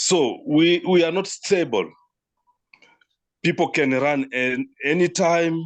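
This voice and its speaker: With a French accent, a man talks at a very slow pace, his fairly high pitch showing ordinary variation. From DR Congo. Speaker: partner organization representative. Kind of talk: online meeting discussion. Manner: halting.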